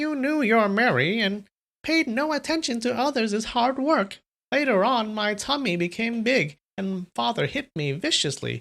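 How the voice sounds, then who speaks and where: A woman puts on a character voice, pitched fairly high with very wide pitch swings. She speaks at a moderate pace. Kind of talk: storyteller's old-person voice. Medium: read story.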